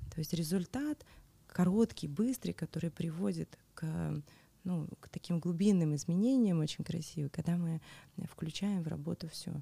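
Pausing long and often, a woman talks in a somewhat breathy, dark and mellow tone at a fairly low pitch with ordinary pitch variation, the sound dry and close with no echo. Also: moderate pace, big swings in loudness. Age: 40s. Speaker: tantra practitioner. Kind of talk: interview.

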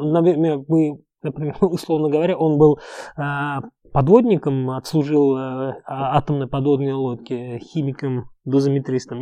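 The delivery moves at a moderate pace with a dark, mellow tone over a quiet background. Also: man. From Uzbekistan. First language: Uzbek (speaking Russian). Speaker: entrepreneur. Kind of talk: interview.

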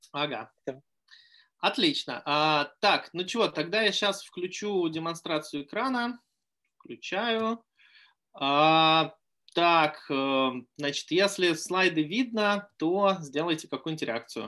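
Against a quiet background, a man speaks at a high pitch with a bright, sharp tone and lively intonation. His pace is very slow, with long, frequent pauses. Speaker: vaccine scientist. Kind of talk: lecture. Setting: video call.

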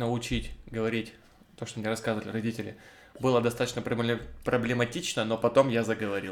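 Long, frequent pauses break up a man's speech, delivered with monotone, flat intonation. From Russia, Cherepovets. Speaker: podcast co-host. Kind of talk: casual chat.

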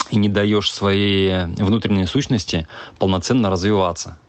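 Speaking at a moderate pace in a normal speaking voice, a man keeps his pitch fairly low. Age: 40s. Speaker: businessman. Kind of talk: recorded monologue.

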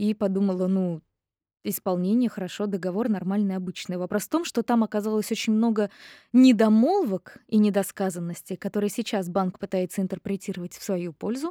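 A woman's medium-pitched, dark, mellow voice at a fairly quick pace, with ordinary pitch variation, in a very clean recording with a silent background and a dry, close sound with no echo. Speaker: voice actress. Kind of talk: interview. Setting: studio.

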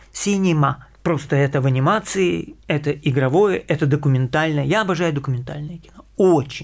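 A man with a normal speaking voice, fairly high in pitch with ordinary pitch variation, talks at a moderate pace on a very clean recording with a silent background. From Ukraine, Kyiv. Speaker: animation director. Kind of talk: interview.

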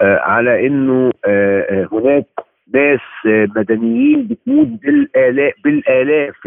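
Speaking at a very slow pace, a man talks with an Egyptian accent. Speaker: human rights lawyer. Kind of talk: interview. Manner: animated.

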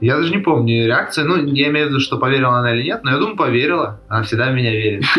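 A man at medium pitch, very fast and with hardly any pauses, lively in intonation and very even in loudness, amid audible room echo and noticeable background noise. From Russia, Krasnodar. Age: 20s. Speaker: basketball player. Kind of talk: interview.

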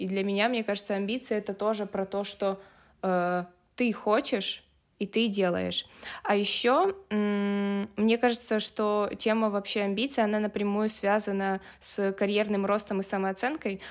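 Speaking at a fairly slow pace, a woman keeps a medium pitch with monotone, flat intonation. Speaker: podcast host. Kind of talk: casual chat.

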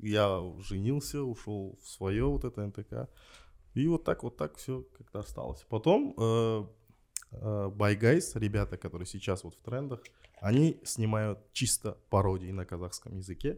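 On a very clean recording with a silent background, a man speaks with a fairly low pitch and lively intonation. He moves at a fairly slow pace with long, frequent pauses. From Kazakhstan, Aksay. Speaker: screenwriter and TV host. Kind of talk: casual chat.

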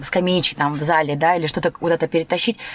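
Noticeable background noise surrounds a woman with a fairly low pitch. Her tone is animated and her pace fairly quick. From Turkmenistan. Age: 30s. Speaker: dance teacher. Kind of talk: casual chat.

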